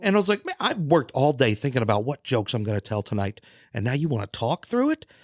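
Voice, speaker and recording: A man speaks at a very fast pace with very wide pitch swings. The sound is dry and close, with no echo. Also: medium pitch for a man. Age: 40s. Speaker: stand-up comedian. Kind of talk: casual chat.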